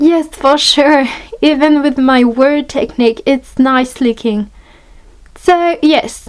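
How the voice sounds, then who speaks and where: A woman with a French accent, very slow pace and lively intonation. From France. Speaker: art hobbyist YouTuber. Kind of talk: product review tutorial.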